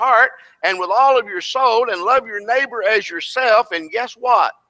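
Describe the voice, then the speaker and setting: Against a quiet background, a man projects a raised voice with a bright, sharp tone. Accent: Tennessee. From Tennessee. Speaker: preacher and preaching school instructor; preacher, preaching school instructor. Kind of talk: sermon. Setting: church class with audience. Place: church.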